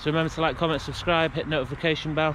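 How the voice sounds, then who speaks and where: The man talks at a fairly quick pace, with a dry sound and no echo but noticeable background noise. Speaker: urban explorer vlogger. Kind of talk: casual vlog chat. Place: open country. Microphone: phone near.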